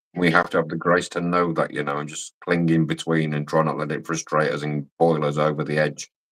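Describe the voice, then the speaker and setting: A man with a Scottish accent and a very deep, low pitch, fairly quick and monotone with flat intonation, with hardly any pauses. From Scotland. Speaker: livestream guest. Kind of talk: casual chat.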